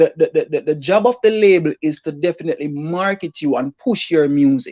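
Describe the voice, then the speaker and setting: Moderate pace with a Jamaican accent. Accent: Jamaican patois-inflected English. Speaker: livestream co-host. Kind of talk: casual debate on livestream.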